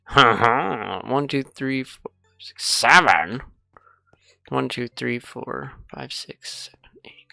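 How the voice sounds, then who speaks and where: Music plays behind speech delivered at a very slow pace. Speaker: gaming YouTuber. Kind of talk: gameplay commentary. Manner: casual, rambling.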